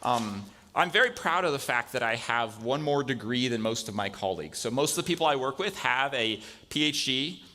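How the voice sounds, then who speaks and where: Over a silent background in a very clean recording, a man talks at a fairly quick pace with a medium pitch, a bright, sharp tone and lively intonation. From Spain (American missionary kid, born in California). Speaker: computer science professor. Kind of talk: guest lecture in chapel. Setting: college chapel with audience. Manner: casual, many fillers.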